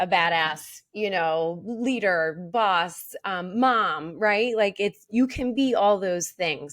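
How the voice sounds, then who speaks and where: A woman speaks at a medium pitch and a fairly slow pace, with lively intonation. The recording is very clean, with a silent background. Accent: Philadelphia. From Philadelphia, US. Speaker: mortgage loan originator and regional vice president. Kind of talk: casual interview chat.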